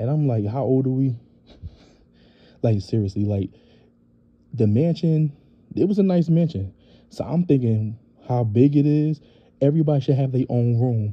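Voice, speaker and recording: Speaking at a moderate pace with long, frequent pauses, a man uses a medium pitch and a somewhat breathy voice. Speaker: reality TV recap youtuber. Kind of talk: casual show recap. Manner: casual, filler-heavy.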